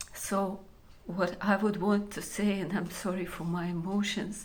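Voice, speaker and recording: A woman speaks at a fairly slow pace in a Ukrainian accent, her medium-pitched voice flat and monotone against audible room echo. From Ukraine. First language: Ukrainian or Russian. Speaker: Ukrainian civilian. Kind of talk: testimony. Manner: halting, many fillers.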